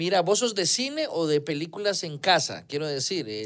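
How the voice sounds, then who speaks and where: A man in a Costa Rican accent, lively intonation, quiet background. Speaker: radio host. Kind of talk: casual interview chat. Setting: radio studio. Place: studio.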